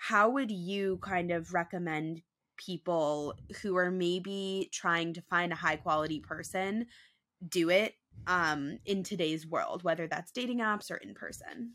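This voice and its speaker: A woman's plain, everyday voice, fairly low in pitch with ordinary pitch variation, at a fairly slow pace over a very clean recording with a silent background. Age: 20s. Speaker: podcast host. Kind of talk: casual chat.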